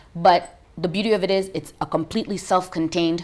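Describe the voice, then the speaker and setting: A woman with an American accent has an unremarkable speaking voice, fairly low in pitch, delivered at a fairly quick pace with fairly even intonation. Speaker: business founder and CEO. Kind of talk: TV interview.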